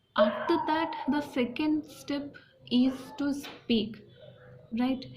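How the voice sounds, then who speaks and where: A woman with an Indian accent. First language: Hindi and a regional mother tongue. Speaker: English learning youtuber. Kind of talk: personal tutorial talk. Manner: halting, many fillers and restarts.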